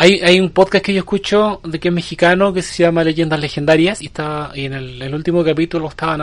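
A man with a Chilean accent talks at a very fast pace, his pitch fairly high. His intonation is fairly even, and there is noticeable background noise. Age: 40s. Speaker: podcast host. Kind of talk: casual chat.

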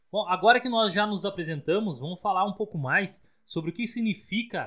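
The man speaks at a moderate pace. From Rio Grande do Sul, Brazil. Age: 30s. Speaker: podcast co-host, software developer. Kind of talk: casual podcast chat.

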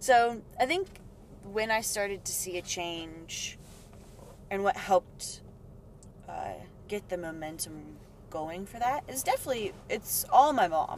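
Against noticeable background noise, a woman speaks at a fairly slow pace with long, frequent pauses and big swings in loudness. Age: 20s. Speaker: yoga teacher and dancer. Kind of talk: casual interview chat.

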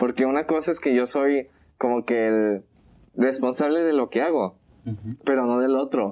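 The man's tone is dark and mellow, at medium pitch. He speaks at a moderate pace with ordinary pitch variation. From Mexico, Colima. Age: 20s. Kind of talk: casual chat.

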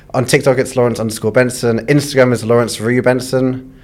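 A man with a London accent speaks fairly quickly at a medium pitch, his intonation monotone and flat. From London, England. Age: 20s. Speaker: food content creator. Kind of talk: casual chat. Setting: studio.

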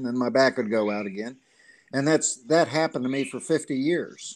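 Against a quiet background, a man talks at a moderate pace in a medium pitch with ordinary pitch variation. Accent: Southern US. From Gulf Shores, Alabama. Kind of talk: casual interview.

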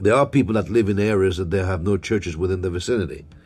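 Very fast speech from a man, very deep and low-pitched, somewhat breathy. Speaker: preacher. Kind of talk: sermon, preacher in full flow, call-and-response with 'say amen' prompts. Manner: animated, exhortative, punctuated by 'Glory to God' and 'Hallelujah'.

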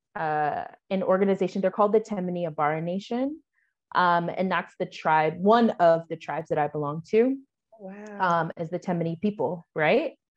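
In a General American accent, a normal speaking voice moves at a moderate pace with ordinary pitch variation. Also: woman, medium pitch for a woman. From US Pacific Northwest, Washington. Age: 20s. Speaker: Air Force veteran and virtual assistant. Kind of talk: interview.

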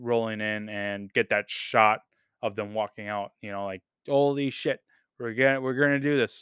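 With an ordinary speaking voice, a man talks at a moderate pace and fairly even intonation. The recording is very clean, with a silent background. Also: dry, close sound with no echo. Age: 20s. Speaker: podcast host, film and TV reviewer. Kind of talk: solo review podcast. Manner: casual, many filler words.

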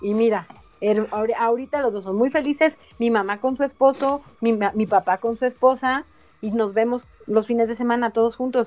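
With music in the background, a woman with a fairly high pitch talks at a moderate pace with ordinary pitch variation. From Mexico City. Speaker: stand-up comedian and geographer. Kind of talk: casual chat.

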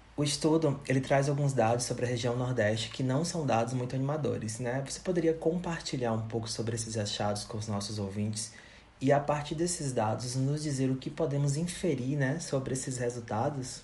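Over noticeable background noise and audible room echo, a man with a medium pitch and ordinary pitch variation talks at a fairly quick pace with hardly any pauses. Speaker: podcast host, psychologist. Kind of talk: interview. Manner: scripted.

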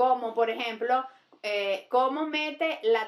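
A woman speaks at a very slow pace. Her pitch is high, with ordinary pitch variation. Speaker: comedian. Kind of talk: casual chat.

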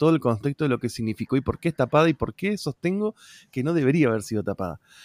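The man's voice sits fairly high, and he talks at a very fast pace. The recording is very clean and dry, close with no echo, over a silent background. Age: 30s. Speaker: podcast guest. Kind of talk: casual chat.

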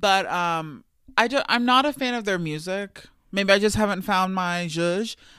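A man's raised, projected voice, high in pitch and bright, sharp in tone, with ordinary pitch variation at a fairly slow pace on a very clean recording with a silent background. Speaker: podcast co-host. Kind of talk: casual chat.

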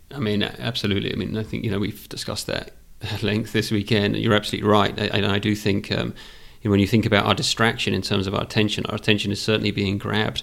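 With vocal fry and a fairly low pitch, a man speaks in monotone, flat intonation. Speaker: podcast co-host. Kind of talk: casual interview conversation.

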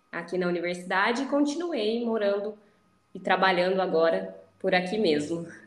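Audible room echo surrounds a woman speaking at a moderate pace, her medium pitch showing ordinary variation. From Campinas area, São Paulo state, Brazil. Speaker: endodontist. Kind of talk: interview conversation.

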